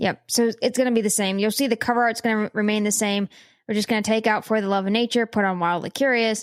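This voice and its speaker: The speech is very fast, with very even loudness and fairly even intonation. The recording is very clean and dry, close with no echo and a silent background. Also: woman. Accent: Pittsburgh. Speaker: science and nature podcast co-host. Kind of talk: casual chat.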